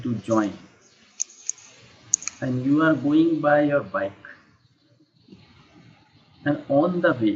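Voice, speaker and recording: A fairly high-pitched man with an Indian accent, very slow, with long, frequent pauses. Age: 50s. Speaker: English teacher. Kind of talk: online English lesson. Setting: Skype call.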